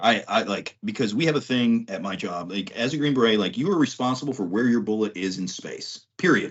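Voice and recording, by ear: A man speaks at a fairly quick pace with an American accent. His voice sits fairly low, with a slightly husky edge and lively intonation.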